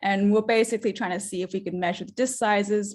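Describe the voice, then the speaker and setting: On a very clean recording with a silent background, a woman speaks at a medium pitch with vocal fry. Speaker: astrophysics researcher. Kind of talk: research seminar talk. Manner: casual with many fillers.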